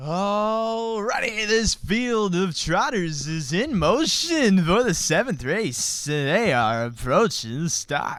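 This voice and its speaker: Using a put-on character voice, a man talks high-pitched at a very slow pace with hardly any pauses. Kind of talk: fast announcer delivery.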